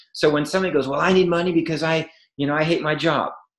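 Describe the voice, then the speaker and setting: A man in a quiet background with audible room echo. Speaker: network marketing entrepreneur; podcast guest. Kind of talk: interview. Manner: animated. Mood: enthusiastic, motivational. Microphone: webcam.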